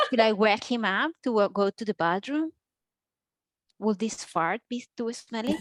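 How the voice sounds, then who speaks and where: In a Spanish accent, a woman with a fairly high pitch and ordinary pitch variation speaks at a fairly slow pace with long, frequent pauses, captured in a very clean recording with a silent background and a dry, close sound with no echo. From Colombia. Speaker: comedy student. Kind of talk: stand-up.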